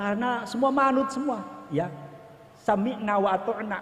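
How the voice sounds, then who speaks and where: A man with a strong West Javanese accent at a fairly quick pace, over noticeable background noise. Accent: thick Indramayu Javanese. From Indramayu, West Java, Indonesia. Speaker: senior police officer. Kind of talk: ceremonial speech. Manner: hurried.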